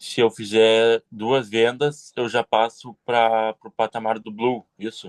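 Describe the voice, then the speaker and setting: A man at medium pitch speaks at a very slow pace with hardly any pauses and monotone, flat intonation. His loudness swings widely, and the sound is dry and close with no echo. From Porto Alegre, Rio Grande do Sul, Brazil. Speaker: new sales team member. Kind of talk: question in online meeting. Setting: video call.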